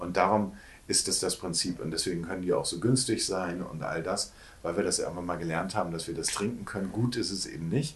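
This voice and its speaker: A man's very deep, low, somewhat breathy voice at a very fast pace, with ordinary pitch variation and audible room echo. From northern Germany, Hamburg. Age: 50s. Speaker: actor and postcard publisher. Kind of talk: casual interview. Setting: shop.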